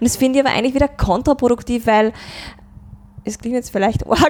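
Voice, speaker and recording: Pitched fairly high, a woman talks with ordinary variation in her pitch. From Upper Austria, Mühlviertel (Rohrbach district). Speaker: dialect pop singer-songwriter. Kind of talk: interview conversation.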